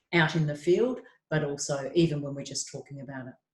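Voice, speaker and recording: In an Australian accent, a woman talks at a moderate pace with a very deep, low pitch and ordinary pitch variation. Her voice is somewhat breathy. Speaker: trauma psychologist. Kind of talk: webinar talk.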